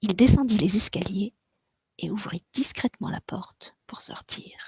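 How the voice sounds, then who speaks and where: Dry and close with no echo, an unremarkable speaking voice moves at a fairly slow pace with ordinary pitch variation and big swings in loudness. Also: woman, fairly high pitch for a woman. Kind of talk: children's story reading.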